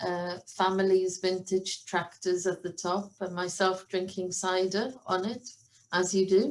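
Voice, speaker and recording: Delivered in a Welsh accent, the speech moves at a fairly slow pace with monotone, flat intonation. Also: woman. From Wales, Cardigan, southwest coast. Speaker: professor of animal science. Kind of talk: online conference talk.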